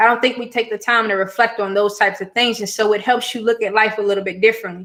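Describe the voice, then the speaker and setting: A woman's very fast, fairly high voice in a monotone, flat delivery. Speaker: education entrepreneur and scholarship coach. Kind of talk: live-stream talk to viewers. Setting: YouTube live stream.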